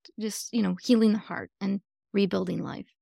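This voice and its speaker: A woman with a plain, everyday voice, medium pitch and an American accent at a moderate pace, in a very clean recording with a silent background and a dry, close sound with no echo. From US Midwest (Michigan). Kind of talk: casual chat.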